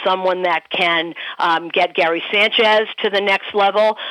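Fairly even female intonation, noticeable background noise behind it. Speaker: baseball broadcaster. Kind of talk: casual chat.

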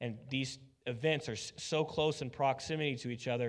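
A man speaks in a normal speaking voice, medium in pitch with fairly even intonation. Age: 30s. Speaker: pastor. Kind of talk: sermon.

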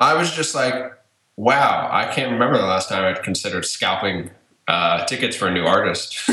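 Speaking at a moderate pace in a plain, everyday voice, a man with a medium pitch uses lively intonation. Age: 20s. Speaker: former podcast host and blogger. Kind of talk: casual chat. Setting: remote call from home. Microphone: echoey room sound.

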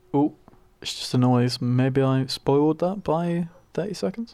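A man speaks at a medium pitch with lively intonation. Noticeable background noise is audible. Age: 20s. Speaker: podcast co-host. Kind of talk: casual chat.

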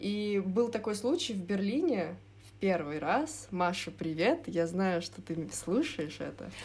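A woman speaks at a very slow pace with a medium pitch and vocal fry. Her intonation is lively, and there is audible room echo. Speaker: design student. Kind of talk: casual chat.

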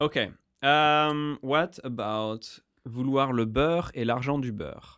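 Speaking very slowly, a man with a French accent uses a medium pitch and ordinary pitch variation. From France. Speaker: podcast host. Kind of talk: casual chat.

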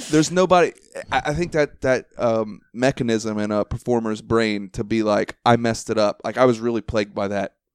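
In a plain, everyday voice with an American accent, a man speaks at a medium pitch and a fairly quick pace, with ordinary pitch variation and a dry, close sound with no echo. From Ohio. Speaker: podcast host, stand-up comedian. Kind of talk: casual chat. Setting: at the guest's home.

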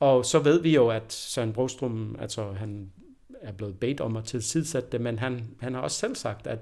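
Fairly slow speech with ordinary pitch variation. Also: man. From Denmark. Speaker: professor of anthropology. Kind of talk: interview. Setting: university office. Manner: hesitant, many fillers and repetitions.

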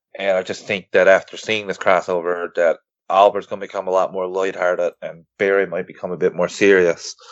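This is a man speaking. He keeps a moderate pace. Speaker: podcaster and superhero fan. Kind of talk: casual chat.

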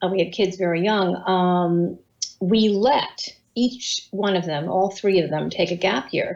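She has an ordinary speaking voice at a medium pitch, with ordinary pitch variation. Her pace is fairly slow. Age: 60s. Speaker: communications professional and author. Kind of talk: casual interview. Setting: video call.

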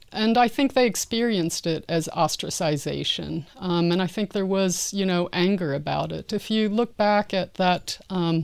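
In a very clean recording with a silent background, a woman with an American accent speaks at a moderate pace with a fairly low pitch and an ordinary speaking voice. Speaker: anthropologist and sports historian. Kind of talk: interview.

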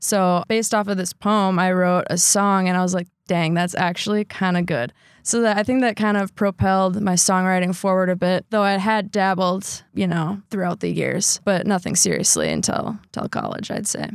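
A woman with an American accent has a normal speaking voice at a medium pitch, with fairly even intonation. She keeps a moderate pace with hardly any pauses on a very clean recording with a silent background. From Wisconsin (Sheboygan Falls). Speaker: reporter and musician. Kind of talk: casual interview.

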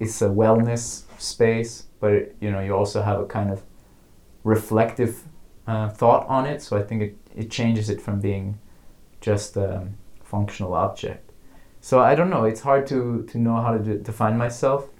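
A somewhat breathy man with an American accent speaks at a moderate pace and medium pitch, keeping his intonation fairly even. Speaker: artist.

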